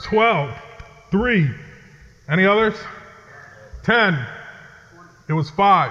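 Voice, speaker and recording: A man with a high, raised, projected voice and lively intonation speaks at a very slow pace with long, frequent pauses. Audible room echo and noticeable background noise fill the recording. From New England, Connecticut. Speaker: pastor. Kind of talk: sermon. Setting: chapel with audience.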